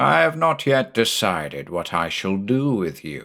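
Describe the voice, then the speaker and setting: Putting on a character voice, a man speaks at fairly low pitch with very wide pitch swings on a very clean recording with a silent background. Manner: menacing.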